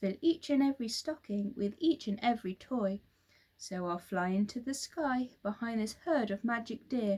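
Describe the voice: Plain reading aloud fills the clip.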